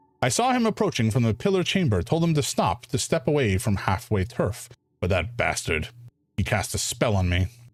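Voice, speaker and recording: In a put-on character voice, a man sounds gruff at a medium pitch and moderate pace, on a very clean recording with a silent background. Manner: gruff, angry.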